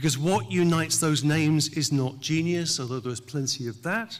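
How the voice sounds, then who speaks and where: A man speaks in a British accent. His pitch is fairly high. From England. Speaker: professor. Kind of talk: commencement speech. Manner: formal.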